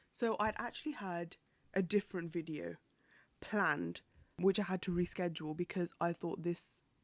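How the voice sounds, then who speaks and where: With a British accent, a woman of fairly low pitch speaks fairly slowly in a dry, close sound with no echo. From UK. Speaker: podcast host. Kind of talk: solo news commentary podcast. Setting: home recording, window open. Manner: casual, chatty with hesitations.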